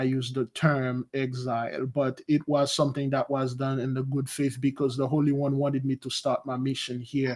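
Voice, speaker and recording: The recording is very clean, with a silent background. A man with a Haitian accent speaks at medium pitch with monotone, flat intonation. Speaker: spiritual advisor. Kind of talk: interview.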